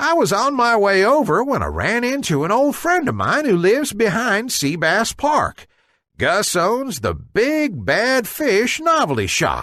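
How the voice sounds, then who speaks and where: The put-on character voice sits at a fairly high pitch and moves at a fairly slow pace against a quiet background. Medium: read story.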